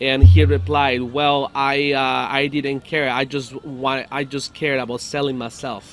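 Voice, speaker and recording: With music in the background, a man at a medium pitch speaks at a very slow pace, with ordinary pitch variation and hardly any pauses. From Mexico, Guanajuato. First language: Spanish (speaking Bulgarian). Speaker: salsa musician. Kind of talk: interpreted interview. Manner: halting.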